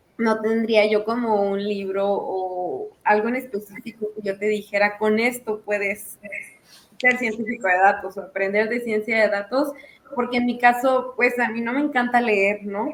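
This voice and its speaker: Through noticeable background noise, a woman speaks at a fairly slow pace and a fairly high pitch with fairly even intonation. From Mexico. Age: 20s. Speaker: data scientist. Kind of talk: casual chat.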